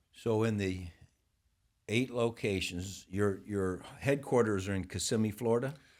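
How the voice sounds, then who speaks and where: An ordinary speaking voice from a man with an American accent, fairly low in pitch, at a fairly slow pace with fairly even intonation. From northern Ohio. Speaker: podcast host. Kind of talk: podcast interview.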